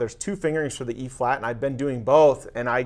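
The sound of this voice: This man speaks at a medium pitch with ordinary pitch variation.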